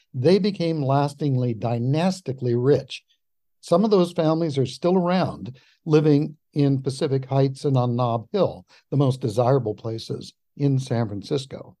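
With an American accent, a man speaks at a fairly high pitch and a moderate pace, in a dark, mellow tone. His pitch variation is ordinary, and the background is quiet. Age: 70s. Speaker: historian. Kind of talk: interview.

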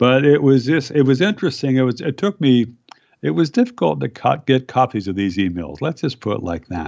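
This man speaks with an American accent at a fairly quick pace. His pitch swings very widely. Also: medium pitch for a man. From US Midwest, Iowa. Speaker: libertarian author and journalist. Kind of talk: interview. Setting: phone call. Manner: halting, many fillers.

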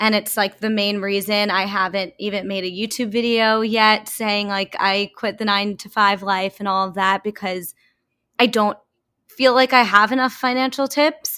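A bright, sharp tone in an American accent, moderate in pace with fairly even intonation, in a very clean recording with a silent background. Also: woman, medium pitch for a woman. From US, Long Island, New York. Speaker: self-care YouTuber and podcaster. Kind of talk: casual interview.

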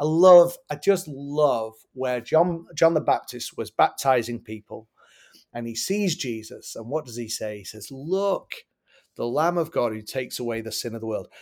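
Recorded very cleanly against a silent background, a man with an English accent speaks at a moderate pace and medium pitch, with lively intonation and big swings in loudness. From England. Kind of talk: interview. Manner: halting.

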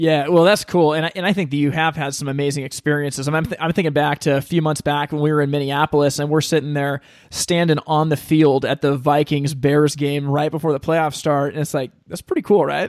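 Fairly quick speech from a man with a fairly high pitch and hardly any pauses, in a dry, close sound with no echo. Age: 30s. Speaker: podcast host. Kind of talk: casual interview. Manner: animated.

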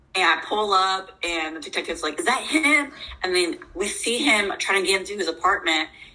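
A woman's pitch swings very widely. Music plays in the background. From moved around as military child; mostly Ocala, Florida. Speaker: personal trainer and bodybuilder, assault survivor. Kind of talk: interview.

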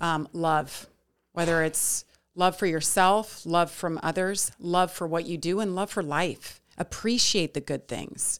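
On a very clean recording with a silent background, a woman with a normal speaking voice and an American accent speaks at a fairly slow pace, with fairly low pitch and fairly even intonation. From US West, Lake Tahoe and Las Vegas. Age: 40s. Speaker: sportscaster. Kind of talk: casual chat.

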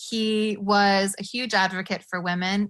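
A bright, sharp tone against a quiet background. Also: woman. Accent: American. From US, evangelical background. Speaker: author and faith content creator. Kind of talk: casual interview chat. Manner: animated.

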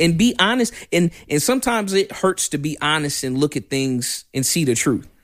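In a very clean recording with a silent background, a loud man with a fairly high voice speaks at a moderate pace in an animated tone, his pitch swinging very widely with hardly any pauses. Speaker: firearms instructor. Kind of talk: casual interview. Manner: loud and animated.

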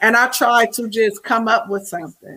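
In an American accent, a woman speaks at a fairly slow pace, her high voice bright and sharp. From Indiana, Anderson. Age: 30s. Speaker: rapper and ghostwriter. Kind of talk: casual interview.

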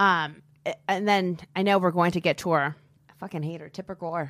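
A woman with a plain, everyday voice speaks at a moderate pace and medium pitch, in a dry, close sound with no echo on a very clean recording with a silent background. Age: 40s. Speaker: podcast host and comedian. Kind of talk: casual chat. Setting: studio.

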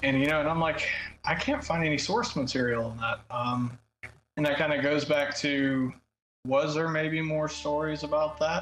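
A man's fairly high voice with a Southern US accent, at a moderate pace and with fairly even intonation. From US South, south Alabama. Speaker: podcast host on Norse paganism. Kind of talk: casual chat.

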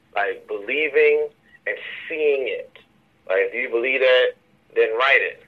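Long, frequent pauses break up a man's fairly slow delivery. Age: 30s. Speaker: filmmaker and writer. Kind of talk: casual interview.

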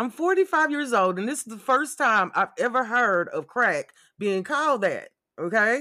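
On a very clean recording with a silent background, a man speaks at a moderate pace in an extremely high pitch. His raised, projected voice is bright and sharp, animated in tone, with lively intonation. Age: 40s. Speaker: podcast host. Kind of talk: casual commentary monologue.

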